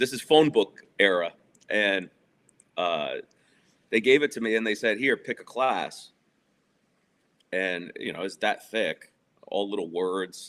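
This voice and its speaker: A fairly low-pitched man with a New York accent, lively intonation, and long, frequent pauses. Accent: New York area American. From New Jersey, near Manhattan. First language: Spanish. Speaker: guest discussing divorce. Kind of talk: casual interview.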